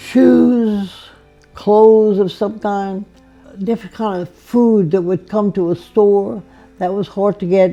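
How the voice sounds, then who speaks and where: Over music in the background, a woman speaks very slowly at a medium pitch with fairly even intonation. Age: 80s+. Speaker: elderly interviewee. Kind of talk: interview. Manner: halting.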